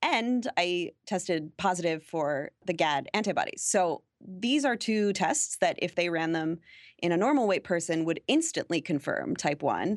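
A woman with a fairly low pitch and an unremarkable speaking voice talks at a moderate pace with lively intonation and very even loudness, in a very clean recording with a silent background and a dry, close sound with no echo. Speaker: blogger and playwright. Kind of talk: interview.

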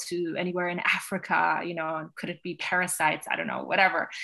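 Against a quiet background, a woman with an American accent speaks very fast in a bright, sharp, medium-pitched voice. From Westchester County, New York. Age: 40s. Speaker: Instagram business coach. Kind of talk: interview.

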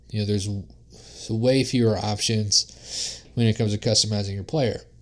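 A man's fairly low-pitched, unremarkable speaking voice with fairly even intonation. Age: 20s. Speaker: podcast host. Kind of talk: casual chat.

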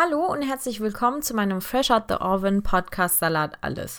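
A woman with an ordinary speaking voice talks at a fairly slow pace with lively intonation, on a very clean recording with a silent background. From Germany, Heidelberg, partly raised in Turkey. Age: 20s. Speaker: podcast host, engineering student. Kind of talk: podcast introduction monologue.

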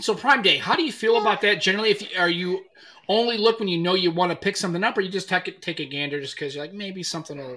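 A man's raised, projected, high voice at a very fast pace, with ordinary pitch variation and big swings in loudness. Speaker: podcast host. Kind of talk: casual chat.

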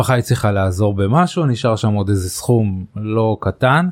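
The recording is very clean with a silent background, and in it a man talks at a moderate tempo. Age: older than the 35-year-old guest. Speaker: podcast host. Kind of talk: interview. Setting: studio. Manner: halting.

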